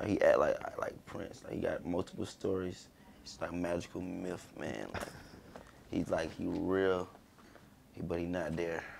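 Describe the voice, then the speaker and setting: Light background noise sits behind a man speaking. He goes at a fairly slow pace with long, frequent pauses. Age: 20s. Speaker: rapper; podcast guest. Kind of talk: casual chat. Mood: relaxed, casual storytelling. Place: studio.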